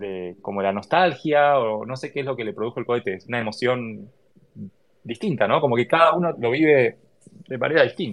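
This man speaks with an Argentine accent at a medium pitch. His pace is fairly quick and his intonation lively. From Argentina. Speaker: software engineer and space enthusiast. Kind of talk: casual interview. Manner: hesitant, repeats words.

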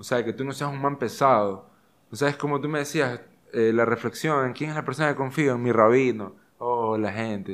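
A man with a plain, everyday voice, fairly quick pace and ordinary pitch variation. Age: 20s. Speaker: actor, rugby player and show host. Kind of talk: interview, casual chat.

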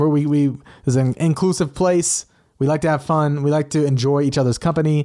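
A man with a fairly high pitch and a dark, mellow tone speaks in a flat monotone at a fairly quick pace, his loudness very even, in a very clean recording with a silent background. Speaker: gaming podcast host. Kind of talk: casual chat. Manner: fast talker.

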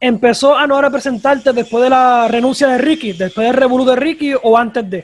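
Delivered at a moderate speed, the speech keeps a fairly even intonation. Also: man. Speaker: podcast host. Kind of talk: interview.

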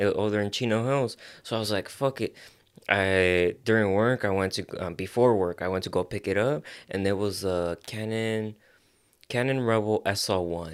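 An ordinary speaking voice, a man's, fairly low in pitch with an American accent. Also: very clean recording, silent background. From Los Angeles area, US (Azusa). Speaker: photographer. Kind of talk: casual chat.

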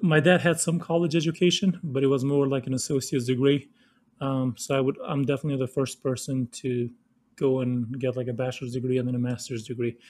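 A man speaks very fast in a Kosovar accent. His pitch is medium and his intonation fairly even. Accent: Kosovar Albanian-accented English. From Kosovo. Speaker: former refugee, government worker. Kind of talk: casual interview.

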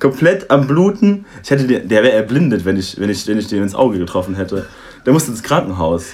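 Lively intonation marks this man's unremarkable speaking voice, pitched medium and moving at a fairly quick pace. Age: 20s. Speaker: student. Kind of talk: casual chat.

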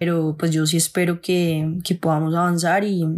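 An ordinary speaking voice at a moderate pace. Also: woman. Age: 20s. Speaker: cannabis grower and content creator. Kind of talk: personal testimony.

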